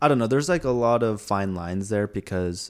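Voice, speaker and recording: In a normal speaking voice, a man speaks at a moderate pace with ordinary pitch variation. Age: 20s. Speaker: social media creator. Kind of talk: casual chat. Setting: living room.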